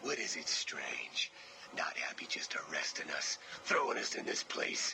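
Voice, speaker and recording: A whispering man in a put-on character voice. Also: moderate pace. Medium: voice reel. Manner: speaks of himself as we, harsh and curt.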